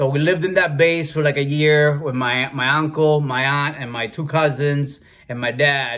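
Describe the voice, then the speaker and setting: Using a Spanish accent, a man speaks at a moderate pace with hardly any pauses, his fairly high voice bright and sharp in tone and his intonation fairly even. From Cuba, raised in Massachusetts from about age 12. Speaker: food and fitness video creator. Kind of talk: personal storytelling monologue. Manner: casual with many fillers.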